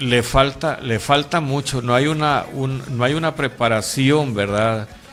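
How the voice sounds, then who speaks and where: Music plays in the background as a man talks at a medium pitch. His pace is fairly slow and his intonation fairly even. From Honduras. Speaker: pastor. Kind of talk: interview. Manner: halting.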